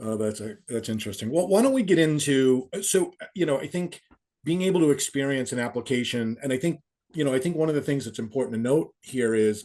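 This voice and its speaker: Very fast male speech in a dark, mellow tone with lively intonation. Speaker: company executive, webinar host. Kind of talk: webinar discussion. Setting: online webinar.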